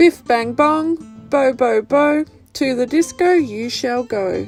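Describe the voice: A put-on character voice speaks at a slow pace with lively intonation. Faint music plays in the background. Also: woman, high pitch for a woman.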